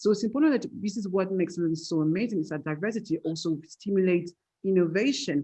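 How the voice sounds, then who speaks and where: Speaking very fast with a French accent, a woman uses lively intonation at a medium pitch. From France. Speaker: tech entrepreneur. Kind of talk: panel discussion. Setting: webinar video call.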